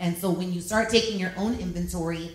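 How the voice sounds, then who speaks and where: An animated woman's voice at medium pitch, fairly quick, with audible room echo and noticeable background noise. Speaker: radio personality. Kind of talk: panel discussion. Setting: stage with audience. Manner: loud.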